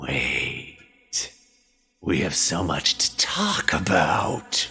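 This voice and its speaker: A man puts on a raspy, hissing character voice pitched very deep and low. He speaks at a very slow pace. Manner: hissing, eager, insistent.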